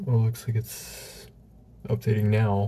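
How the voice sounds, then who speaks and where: A man speaks quietly at a fairly low pitch with ordinary pitch variation. His pace is fairly slow, with light background noise. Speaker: gaming YouTuber. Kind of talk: casual gameplay commentary. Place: home room. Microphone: webcam.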